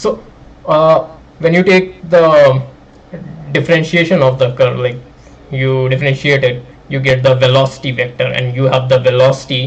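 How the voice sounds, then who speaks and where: A man's medium-pitched voice at a moderate pace, with fairly even intonation and long, frequent pauses. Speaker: graphics programming student streamer. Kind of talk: live stream maths tutorial. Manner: casual, many fillers.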